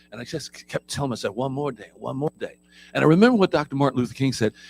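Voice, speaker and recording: In a dry, close sound with no echo and music in the background, a man with an American accent talks at a medium pitch with lively intonation. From Philadelphia, US. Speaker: trainer at a prisoner reentry program. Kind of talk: motivational talk to a group. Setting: room with live audience. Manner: animated.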